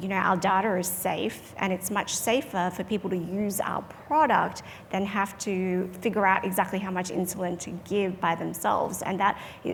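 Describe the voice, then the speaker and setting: A woman with an Australian accent speaks at a moderate pace. Noticeable background noise can be heard. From Australia, trained in Perth. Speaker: medical device company clinician executive. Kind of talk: panel discussion.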